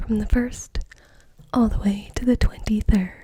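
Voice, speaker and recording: A woman whispers. She is soft-spoken and somewhat breathy. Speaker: ASMR creator. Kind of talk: ASMR video, soft-spoken talk to camera. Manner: soft-spoken, whispered.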